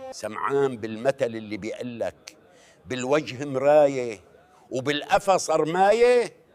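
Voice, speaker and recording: A man speaks very slowly with a Levantine accent and lively intonation. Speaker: storyteller. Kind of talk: comedic folk-proverb sketch dialogue.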